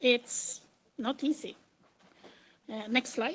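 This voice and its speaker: Speaking at a fairly slow pace with a Swedish accent, a woman has a high-pitched voice with a bright, sharp tone. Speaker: metadata strategist and computer engineer. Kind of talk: conference presentation. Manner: hesitant, with frequent fillers.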